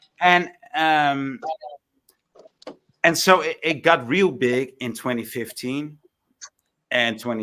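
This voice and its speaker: Very slowly, a man speaks with a strong non-native accent. His tone is bright and sharp, and his intonation is lively. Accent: thick foreign. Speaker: panel participant in online debate. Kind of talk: heated debate.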